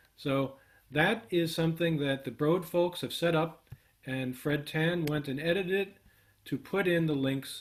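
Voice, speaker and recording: The man has an ordinary speaking voice, pitched fairly high, with ordinary pitch variation. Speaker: workshop instructor. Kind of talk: live coding tutorial.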